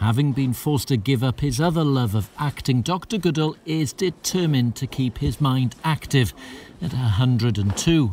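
Somewhat breathy, a man talks at a medium pitch with lively intonation. He keeps a moderate pace. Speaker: news reporter. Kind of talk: TV news report.

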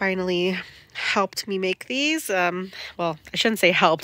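This is a woman speaking. The sound is dry, with no echo. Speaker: home gardener vlogger. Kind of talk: casual vlog chat. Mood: cheerful, pleased. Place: garden. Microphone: phone near.

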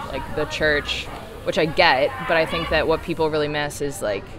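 Very fast, flat, monotone speech from a woman with a very deep, low pitch, over noticeable background noise. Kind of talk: interview answer. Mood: reflective, earnest. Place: cafe. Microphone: phone near.

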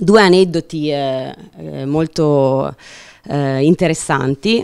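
Ordinary pitch variation from a woman against a quiet background. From Piedmont, Italy. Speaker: winemaker; panelist. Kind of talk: panel talk. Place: meeting room. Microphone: handheld.

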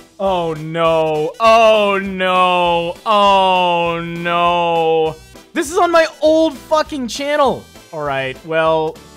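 A man speaks at a very slow pace. Faint music plays in the background. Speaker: reaction streamer. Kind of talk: casual reaction commentary. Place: home room. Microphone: studio mic.

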